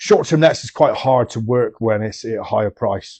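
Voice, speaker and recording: A man's medium-pitched voice with a Bristol accent, a dark, mellow tone and a moderate pace. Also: dry, close sound with no echo. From Bristol, England. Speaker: property investment consultant. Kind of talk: interview. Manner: hesitant, many ums.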